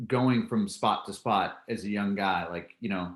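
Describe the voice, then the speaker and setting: A man with an American accent and lively intonation, a plain, everyday voice, on a very clean recording with a silent background. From California. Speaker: podcast host. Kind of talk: podcast interview.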